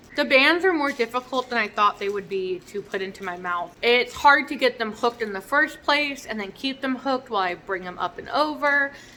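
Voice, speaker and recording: Her voice high-pitched, a woman talks at a fairly quick pace with hardly any pauses and lively intonation over noticeable background noise. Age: adult. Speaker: vlogger. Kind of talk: casual vlog.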